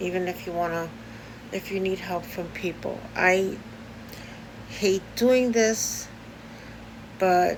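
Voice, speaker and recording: A woman speaks at a very slow pace. She has a New York accent. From US Northeast, Brooklyn, New York. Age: 60s. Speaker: video blogger. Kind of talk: personal vlog. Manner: halting, many fillers.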